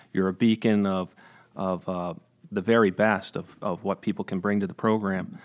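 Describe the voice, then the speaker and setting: On a very clean recording with a silent background, a man with an American accent talks at a moderate pace, his pitch fairly low and his intonation fairly even. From New York, Greene County (Capital Region). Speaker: Air National Guard colonel. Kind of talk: interview. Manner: halting, with many fillers.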